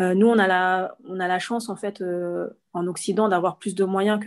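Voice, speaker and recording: A woman speaks at a medium pitch. Her intonation is fairly even, over a quiet background. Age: 30s. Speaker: entrepreneur. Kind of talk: interview. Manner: hesitant.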